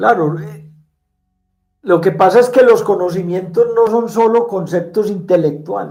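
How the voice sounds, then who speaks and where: This man speaks with a high pitch at a fairly slow pace. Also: ordinary pitch variation. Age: 60s. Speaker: spiritual teacher. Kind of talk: conversational interview.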